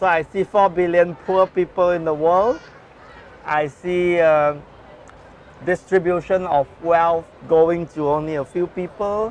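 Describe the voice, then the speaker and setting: Pausing long and often, a man with a high pitch speaks at a fairly slow pace amid noticeable background noise. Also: fairly even intonation. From Singapore. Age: 60s. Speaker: social entrepreneur. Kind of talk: interview.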